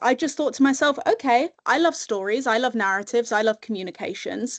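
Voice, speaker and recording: Here a woman speaks with a British accent and a high pitch. Her pace is moderate over a quiet background. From UK. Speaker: communications professional and webinar speaker. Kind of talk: webinar presentation.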